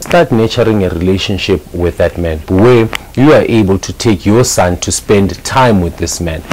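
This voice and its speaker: A man's fairly low voice at a moderate pace over light background noise. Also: ordinary pitch variation. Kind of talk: casual advice talk to camera. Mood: earnest, persuasive.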